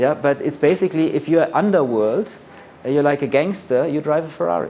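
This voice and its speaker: In a German accent, a man talks at a fairly quick pace. His voice is fairly high for a man, with a dark, mellow tone. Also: ordinary pitch variation. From Germany. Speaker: luxury brand expert. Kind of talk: lecture.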